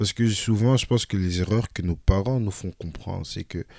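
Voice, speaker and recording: Here a man speaks at a moderate pace in a fairly low pitch with ordinary variation and a dark, mellow tone. The sound is dry and close with no echo, on a very clean recording with a silent background. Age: young. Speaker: student, younger brother of the host. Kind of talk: casual chat.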